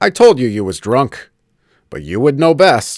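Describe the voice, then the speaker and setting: Using a put-on character voice, a man at medium pitch speaks at a moderate pace with very wide pitch swings and big swings in loudness. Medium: read story.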